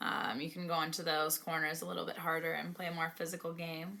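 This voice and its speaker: A woman speaks with a Canadian accent. Her tone is bright and sharp. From Canada. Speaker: professional hockey player. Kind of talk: vlog narration. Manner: casual.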